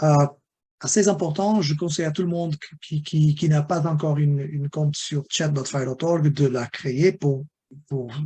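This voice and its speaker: Somewhat breathy and dark, mellow in tone, a man speaks at a fairly high pitch. His intonation is fairly even and his pace moderate. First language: not French (speaking French). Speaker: webinar presenter on health data standards. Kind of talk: webinar lecture. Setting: online webinar. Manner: halting, many repetitions and fillers.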